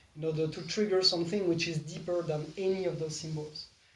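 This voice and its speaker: Moderate pace over noticeable background noise. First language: not English. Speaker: spiritual teacher leading a meditation game. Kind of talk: casual group conversation about spirituality.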